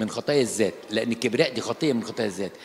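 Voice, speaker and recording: Over noticeable background noise, a man speaks at a fairly quick pace. His pitch varies in an ordinary way. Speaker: Coptic Orthodox priest. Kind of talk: sermon. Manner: animated, conversational.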